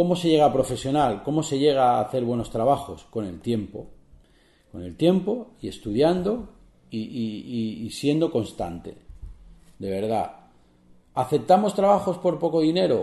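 Against a quiet background with audible room echo, a man with a fairly high pitch and a dark, mellow, somewhat breathy tone speaks at a fairly slow pace, swinging his pitch very widely and leaving long, frequent pauses. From Spain, Barcelona; Catalonia, Spain. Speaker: photographer and photography podcaster. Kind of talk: solo podcast tutorial. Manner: hesitant, many fillers and repetitions. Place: home room.

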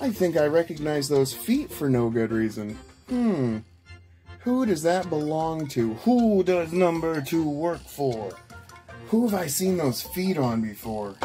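A man at a fairly slow pace over faint background music. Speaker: thrift haul vlogger. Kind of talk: casual vlog chat. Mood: excited and amused. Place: home room. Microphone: camera far.

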